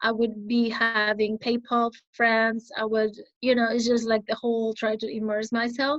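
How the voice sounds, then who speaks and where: A woman's fairly high, monotone, flat delivery at a moderate pace, with a Spanish accent. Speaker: English exam candidate. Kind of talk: interview.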